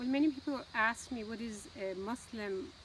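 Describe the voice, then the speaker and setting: A woman speaks with an American accent. Her voice is fairly high and somewhat breathy. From United States. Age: 70s. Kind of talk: interview answer. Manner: reflective, hesitant.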